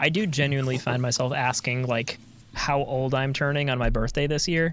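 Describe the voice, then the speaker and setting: Talking at a fairly quick pace, a man uses an unremarkable speaking voice with medium pitch, fairly even intonation and very even loudness. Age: 30s. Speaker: podcast co-host. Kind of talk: casual chat.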